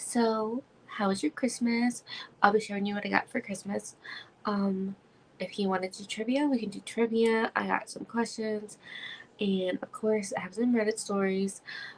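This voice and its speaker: A woman talks at a moderate pace in a fairly high, somewhat breathy voice. Her intonation is fairly even. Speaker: YouTuber hosting a live stream. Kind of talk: casual chat. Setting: live stream. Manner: casual with filler words.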